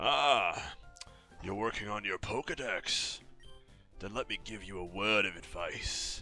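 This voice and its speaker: With clear music in the background, a man performs a put-on character voice. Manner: advisory, helpful.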